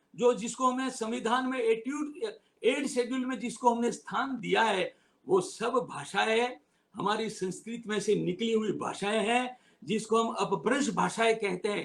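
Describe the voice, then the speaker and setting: A man talks at an extremely high pitch, with ordinary pitch variation. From Gujarat, India. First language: Gujarati (speaking Hindi). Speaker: retired civil servant and lawyer. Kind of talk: public talk. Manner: emphatic.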